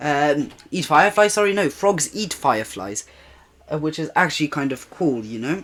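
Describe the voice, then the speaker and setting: A non-native accent comes through. The delivery moves at a moderate speed. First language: not English. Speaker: gaming YouTuber. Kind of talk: video commentary recap. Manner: casual, hesitant with fillers.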